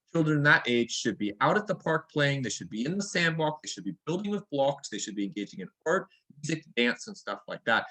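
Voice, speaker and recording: At a fairly quick pace, a man with a fairly high pitch and a bright, sharp tone swings his pitch very widely. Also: dry, close sound with no echo. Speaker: early childhood education presenter. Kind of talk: workshop presentation. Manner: fast.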